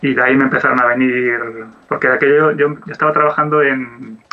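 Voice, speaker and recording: A man's fairly high-pitched, fairly even delivery at a fairly quick pace, a normal speaking voice. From Asturias, Spain. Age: 40s. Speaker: 2D animator. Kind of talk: interview.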